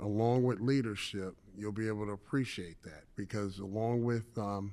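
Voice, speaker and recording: A man's normal speaking voice, fairly low in pitch, with ordinary pitch variation at a moderate pace, on a very clean recording with a silent background. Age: 60s. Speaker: retired banker and business speaker. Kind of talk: conference talk. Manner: casual and conversational.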